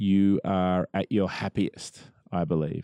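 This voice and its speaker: In an Australian accent, a man speaks with a very deep, low voice and a dark, mellow tone. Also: dry, close sound with no echo, quiet background. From Australia (Melbourne). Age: 40s. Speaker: musician. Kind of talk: casual interview chat.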